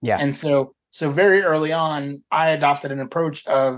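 A man with an American accent speaks at a fairly slow pace in a normal speaking voice, pitched fairly high. His intonation stays fairly even against a quiet background. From US South. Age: 30s. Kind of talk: interview.

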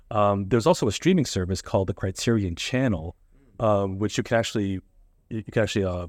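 This very clean recording has a silent background. A man speaks very fast with fairly even intonation. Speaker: podcaster. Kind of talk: casual interview chat. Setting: in-person at a school.

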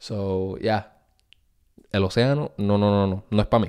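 Fairly slow speech from a man, fairly low in pitch, with ordinary pitch variation. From Puerto Rico. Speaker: podcast host. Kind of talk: casual monologue. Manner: animated.

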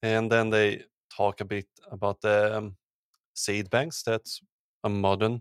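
Speaking at a very slow pace, a man with a fairly low voice keeps a monotone, flat intonation on a very clean recording with a silent background and a dry, close sound with no echo. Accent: Swedish. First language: Swedish. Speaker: podcast host, archaeologist; podcast host. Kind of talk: casual chat.

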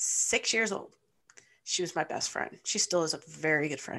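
With a Midwestern US accent, the voice has a bright, sharp tone. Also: woman, quiet background. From Michigan, Ypsilanti. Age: 40s. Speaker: sports fan and parent. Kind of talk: casual chat.

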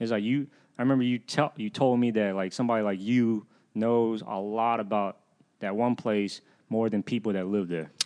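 Against a quiet background, a man with a Southern US accent talks at a moderate pace, his medium-pitched voice dark and mellow in tone with fairly even intonation. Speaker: guest. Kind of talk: casual chat.

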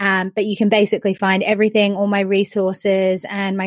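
With an Australian accent, a woman at a medium pitch speaks in a monotone, flat way at a moderate pace, in a dry, close sound with no echo and a very clean recording with a silent background. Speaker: confidence coach. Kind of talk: interview.

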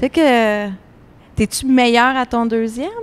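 A woman's fairly high-pitched voice. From Montreal, Little Burgundy. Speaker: first-time novelist, film technician. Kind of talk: panel discussion. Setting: live-streamed panel at book fair.

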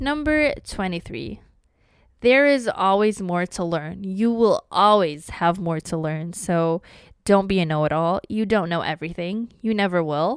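A woman talks at a fairly slow pace with medium pitch and lively intonation, in an unremarkable speaking voice. The recording is very clean, with a silent background. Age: 20s. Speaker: solo podcast host. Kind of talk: solo monologue, advice list.

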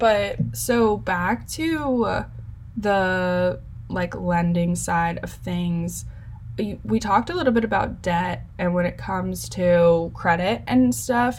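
A woman talks at a very slow pace, and audible room echo follows her words. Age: 20s. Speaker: podcast host and college student. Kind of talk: interview.

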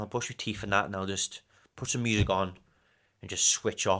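Bright and sharp in tone, a man with a northern English accent speaks at a fairly quick pace on a very clean recording with a silent background. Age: 20s. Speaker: running coach. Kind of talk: casual chat. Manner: fast; animated.

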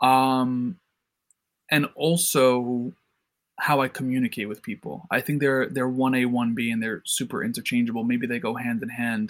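A man with an American accent in a normal speaking voice, medium-pitched with ordinary pitch variation, at a moderate pace. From New York City. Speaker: entrepreneur, company CEO. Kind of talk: interview, casual chat.

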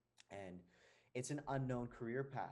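A man with an American accent has a plain, everyday voice, speaking at a moderate pace with fairly even intonation. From New Jersey. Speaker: actor, hypnotherapist. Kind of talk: casual chat.

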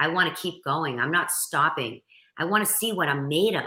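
With a strong Boston accent and a bright, sharp tone, a woman speaks at a moderate pace with ordinary pitch variation. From Boston area, Massachusetts. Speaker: motivational speaker and coach. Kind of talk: interview.

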